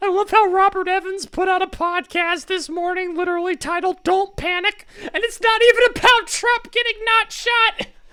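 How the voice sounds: Someone puts on a character voice at an extremely high pitch. The delivery moves at a moderate pace with hardly any pauses.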